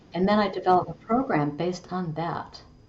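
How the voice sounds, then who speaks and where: A woman at a medium pitch talks at a moderate tempo, with noticeable noise in the background. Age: 70s. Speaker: holistic coach and business founder. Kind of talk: podcast interview. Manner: conversational with frequent fillers.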